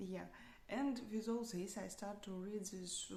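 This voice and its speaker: With audible room echo, a woman at a medium pitch talks at a fairly slow pace with fairly even intonation. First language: not English. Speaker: software developer practicing English. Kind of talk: unscripted speaking practice monologue. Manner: halting, many fillers and restarts.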